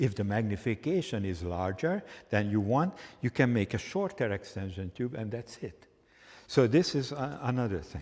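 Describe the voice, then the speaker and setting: A man speaks at medium pitch with a Hungarian accent. His pace is fairly slow, and his pitch swings very widely. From Hungary. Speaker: photography instructor. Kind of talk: live workshop demonstration.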